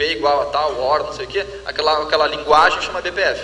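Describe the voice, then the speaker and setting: Someone talks at a very fast pace in a southern Brazilian accent. Noticeable background noise and audible room echo fill the recording. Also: man. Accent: southern Brazilian (gaúcho) Portuguese. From Rio Grande do Sul, Brazil. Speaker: tech company representative. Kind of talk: Q&A panel at conference.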